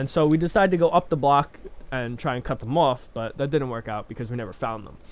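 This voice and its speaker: A man's medium-pitched voice at a very fast pace, with ordinary pitch variation and big swings in loudness. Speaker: youtuber telling personal stories. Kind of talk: casual storytelling. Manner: halting, stuttering a bit; casual, filler-heavy.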